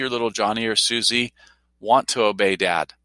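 A bright, sharp tone with a dry, close sound and no echo. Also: man, very clean recording, silent background. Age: 50s. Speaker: university president. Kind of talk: casual chat. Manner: animated.

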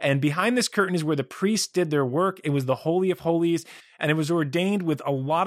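This man has a normal speaking voice with a fairly high pitch. The recording is very clean with a silent background and a dry, close sound with no echo. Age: 40s. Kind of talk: solo religious teaching podcast.

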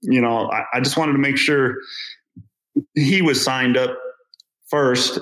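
A man speaks with ordinary pitch variation. There is audible echo from the room. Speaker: amateur runner. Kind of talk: interview conversation.

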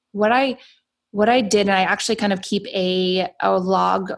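With an American accent and an ordinary speaking voice, a woman talks at a moderate pace and medium pitch with fairly even intonation, in a very clean recording with a silent background. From US South, Atlanta, Georgia. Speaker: entrepreneur. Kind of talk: interview.

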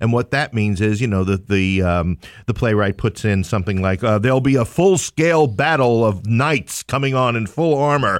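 A man with a New York accent, lively intonation, very even loudness and hardly any pauses, in a very clean recording with a silent background. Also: medium pitch for a man, moderate pace. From New York City, Queens. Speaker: theater company owner. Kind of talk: casual chat. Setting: studio.

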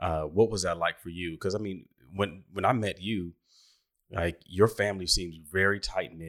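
A man with an American accent, a very deep, low pitch, fairly even intonation and a moderate pace. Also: very clean recording, silent background. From Washington, D.C. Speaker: podcast host. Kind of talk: interview conversation.

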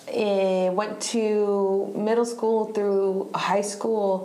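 A woman with an American accent, very slow and monotone, flat in intonation and very even in loudness, with audible room echo and noticeable background noise. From US Southeast (Virginia, North Carolina). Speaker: musician. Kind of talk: casual chat. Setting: live podcast recording at a venue.

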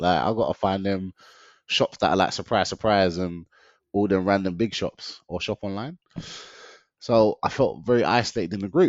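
Pausing long and often, a man with a London accent speaks in a fairly low pitch with ordinary pitch variation. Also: moderate pace. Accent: London multicultural English. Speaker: diet consultant, weight loss coach. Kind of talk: casual interview chat, personal story. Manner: animated, energetic, jokey.

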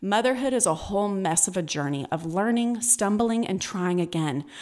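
The speaker has an American accent and lively intonation. The pace is moderate. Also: woman. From California. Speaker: podcast host and author. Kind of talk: motivational solo podcast.

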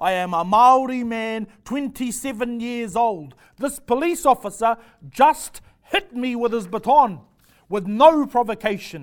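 Speaking at an extremely high pitch, a man uses lively intonation at a fairly slow pace. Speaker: actor performing monologue. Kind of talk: stand-up comedy monologue.

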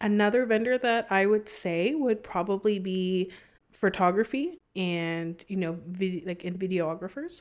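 Recorded very cleanly against a silent background, a woman with an American accent uses an ordinary speaking voice at a fairly slow pace, with ordinary pitch variation. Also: medium pitch for a woman. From San Antonio, Texas. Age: 20s. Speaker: wedding planner. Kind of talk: casual chat. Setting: studio.

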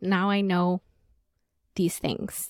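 A woman with a non-native accent speaks on a very clean recording with a silent background and a dry, close sound with no echo. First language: not English. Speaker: podcast host and business coach. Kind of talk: solo podcast monologue. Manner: animated.

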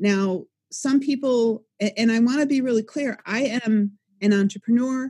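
A woman with a fairly high, somewhat breathy voice speaks at a moderate pace, her tone dark and mellow with ordinary pitch variation. The recording is very clean, with a silent background. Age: 50s. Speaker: life coach and author. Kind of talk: interview.

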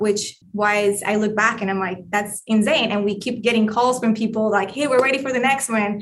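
A woman talks with a Colombian accent. Her pitch is medium. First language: Spanish. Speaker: real estate investor, former management consultant. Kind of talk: interview.

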